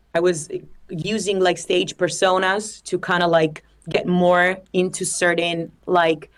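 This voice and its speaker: A woman with an Italian accent, fairly low-pitched, speaking at a fairly slow pace in a flat, monotone delivery. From Italy. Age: 20s. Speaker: singer-songwriter. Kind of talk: interview.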